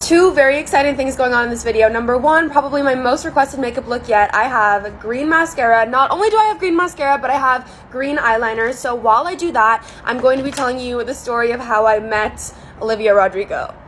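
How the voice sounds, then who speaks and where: Shouting loudly at a very fast pace with hardly any pauses, a woman speaks in a high pitch with ordinary pitch variation and an animated tone over noticeable background noise. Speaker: beauty vlogger. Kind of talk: casual storytelling vlog with makeup tutorial. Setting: outdoors on a balcony. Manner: loud, yelling over noise.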